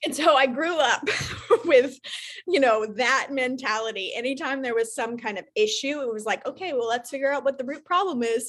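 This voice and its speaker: A loud, high-pitched woman's voice with ordinary pitch variation. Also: moderate pace. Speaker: content creator. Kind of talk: casual chat. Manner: loud, projecting; talkative, on a roll.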